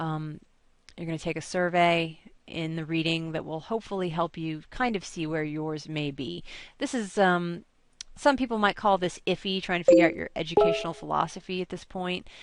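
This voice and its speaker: Against a quiet background, a woman talks at a moderate pace with a fairly low pitch and ordinary pitch variation. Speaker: college instructor. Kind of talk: recorded course video walkthrough. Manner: hesitant, many fillers.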